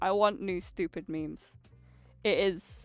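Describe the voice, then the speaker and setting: A woman speaks at a medium pitch while music plays in the background. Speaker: streamer. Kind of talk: casual chat. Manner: animated.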